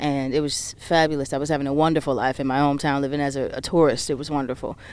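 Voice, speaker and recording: With a New Orleans accent, a woman talks at a very fast pace. Her pitch is very deep and low, and her intonation monotone and flat. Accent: New Orleans Southern US. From US South, New Orleans, Louisiana. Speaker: singer, songwriter and spoken word artist. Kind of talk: interview.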